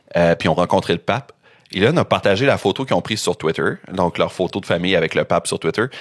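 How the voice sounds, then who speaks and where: Talking at a very fast pace with very even loudness, a man with a Quebec accent and fairly low pitch comes through with a dry, close sound with no echo. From Quebec, Rimouski (Bas-Saint-Laurent). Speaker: podcast host presenting researched topic. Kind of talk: casual chat presenting a researched story. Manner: conversational, with frequent fillers (euh).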